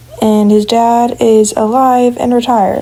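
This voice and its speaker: Fairly even in her intonation, the woman talks as noticeable noise fills the background. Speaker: digital artist talking about original characters. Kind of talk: casual monologue. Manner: hesitant with fillers and restarts.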